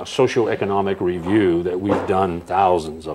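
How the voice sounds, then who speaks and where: Noticeable background noise behind a man's moderately paced speech, his pitch varying in an ordinary way. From New Hampshire, US. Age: 60s. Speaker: researcher and speaker. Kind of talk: interview conversation; demonstration.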